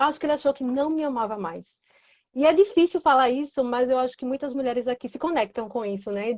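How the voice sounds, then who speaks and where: A woman's high voice in a northeastern Brazilian accent, fairly quick, with ordinary pitch variation and a dry, close sound with no echo. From Recife, Pernambuco, northeastern Brazil. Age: 20s. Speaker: guest sharing personal story. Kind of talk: testimony. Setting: Instagram live.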